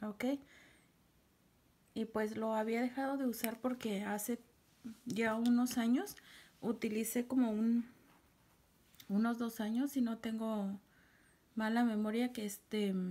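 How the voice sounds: A quiet woman speaks at a slow pace with long, frequent pauses. Her pitch is fairly high, her intonation fairly even, and her tone dark and mellow.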